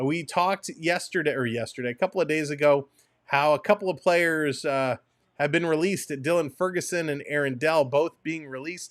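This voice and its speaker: Over a very clean recording with a silent background, a man speaks with lively intonation. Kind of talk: casual, conversational.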